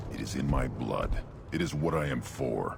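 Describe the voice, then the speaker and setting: A man uses a put-on character voice with a very deep, low pitch. Clear background noise can be heard. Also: moderate pace. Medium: short film. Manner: terse, proud.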